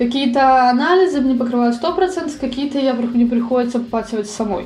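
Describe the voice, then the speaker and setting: Her voice is high, and she speaks at a moderate pace. Noticeable background noise and audible room echo surround this woman. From Russia. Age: 20s. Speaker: emigrant interviewee. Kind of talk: interview. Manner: halting.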